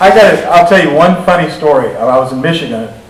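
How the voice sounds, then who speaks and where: With an American accent, a man talks while audible room echo and noticeable background noise fill the recording. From Arkansas, US South. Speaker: defense lawyer. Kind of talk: talk with Q&A. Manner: animated.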